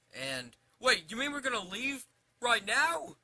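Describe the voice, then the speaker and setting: A man puts on a character voice at an extremely high pitch, raised and projected. He goes at a fairly slow pace with ordinary pitch variation. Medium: read story.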